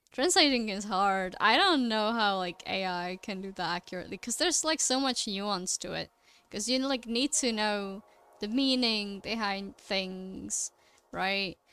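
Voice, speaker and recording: A woman's bright, sharp tone comes through a very clean recording with a silent background, her pitch varying in an ordinary way. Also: medium pitch for a woman, fairly slow pace. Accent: Czech. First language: Czech. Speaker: artist streamer. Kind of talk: casual chat while drawing on livestream.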